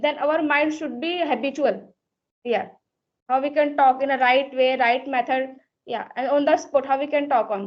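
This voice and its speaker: In an Indian accent, a woman speaks at a high pitch. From India, Uttar Pradesh. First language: Hindi. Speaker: English learner. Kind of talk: conversation practice chat.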